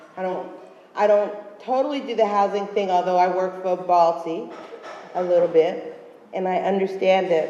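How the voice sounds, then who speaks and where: A woman's medium-pitched voice at a moderate pace, with long, frequent pauses, noticeable background noise and audible room echo. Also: ordinary pitch variation. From Philadelphia, US. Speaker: urban farmer, panelist. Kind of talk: panel discussion.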